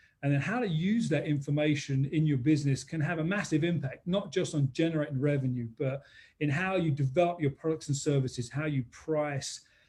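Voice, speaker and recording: A man speaks at a fairly quick pace with hardly any pauses, his voice somewhat breathy and fairly high-pitched. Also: ordinary pitch variation. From London, England. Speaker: business consultant. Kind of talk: interview webinar. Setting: live-streamed webinar.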